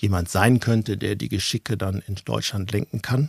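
In a very clean recording with a silent background and a dry, close sound with no echo, a man speaks at a fairly low pitch and a fairly slow pace, somewhat breathy, with ordinary pitch variation. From Ruhr area, Germany (near Dortmund). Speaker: managing director of a safety shoe company. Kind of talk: casual interview. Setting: basement studio with small audience.

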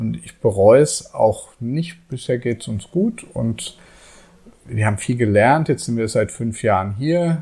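A man talks at a very slow pace in a medium, somewhat breathy voice with a dark, mellow tone and lively intonation. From Germany, Frankfurt. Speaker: author and IT teacher. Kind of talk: casual interview. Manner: halting, many fillers.

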